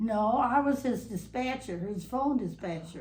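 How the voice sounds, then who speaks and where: A woman speaks with a dark, mellow tone and ordinary pitch variation. Her voice is somewhat breathy, with audible room echo. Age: 90s. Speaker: long-time local resident interviewed for oral history. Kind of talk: oral history interview. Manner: halting, many fillers and restarts.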